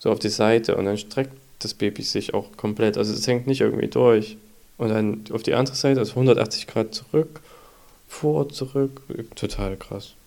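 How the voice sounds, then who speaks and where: Dark, mellow tone with vocal fry, ordinary pitch variation and a moderate pace. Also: man, medium pitch for a man. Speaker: podcast host, father of a baby. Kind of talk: casual chat.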